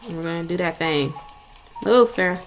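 Music plays behind the voice. A woman talks, her pitch varying in an ordinary way. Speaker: gaming YouTuber. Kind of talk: let's play commentary. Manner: low energy.

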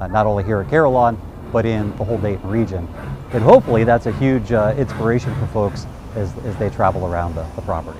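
A man's fairly low voice at a very fast pace, with ordinary pitch variation, noticeable background noise and a dry sound with no echo. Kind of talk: interview answer. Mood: proud, upbeat. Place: open country. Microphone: lapel.

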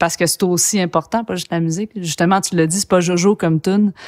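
Against a quiet background, a woman speaks in a fairly low voice with monotone, flat intonation. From Quebec, Saguenay; Quebec. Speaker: podcast host and bassist musician; podcast host. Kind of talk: casual interview. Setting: studio. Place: studio.

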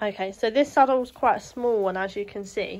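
A woman talks fairly quickly, her pitch varying in an ordinary way, with light background noise present. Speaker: shop staff demonstrating packing. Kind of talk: tutorial. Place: home room. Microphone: phone near.

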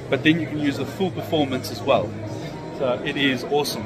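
Through loud background noise, a man speaks with ordinary pitch variation. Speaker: vlogger. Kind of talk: casual vlog chat. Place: hall. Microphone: phone near.

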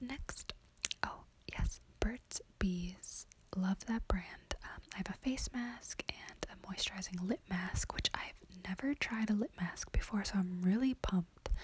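Whispering, a woman keeps to a fairly slow pace. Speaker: beauty vlogger. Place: home room. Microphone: phone near.

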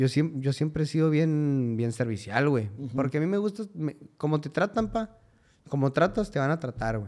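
Against a quiet background, a man talks in a fairly high voice. His intonation is lively and his pace moderate. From Mexico, Cuauhtémoc, Chihuahua; Chihuahua, Mexico. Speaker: musician; podcast guest. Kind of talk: casual chat. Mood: relaxed, joking storytelling. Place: studio. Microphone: studio mic.

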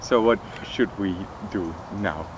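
A man talks with a very deep, low pitch. The sound is dry with no echo, though noticeable background noise is present. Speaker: interviewer. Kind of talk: interview conversation. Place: garden. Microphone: lapel.

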